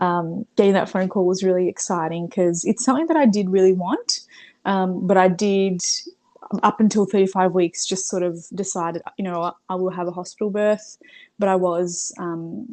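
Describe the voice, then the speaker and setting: Speaking at a moderate pace in an Australian accent, a woman has a medium pitch, a dark, mellow tone and fairly even intonation. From Brazil. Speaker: mother sharing birth story. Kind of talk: interview. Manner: hesitant, many fillers.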